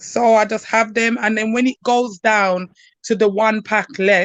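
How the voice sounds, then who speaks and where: A woman speaks fairly slowly at a medium pitch in a flat monotone, the sound dry and close with no echo. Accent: strong Birmingham. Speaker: university student. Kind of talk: casual chat. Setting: live stream.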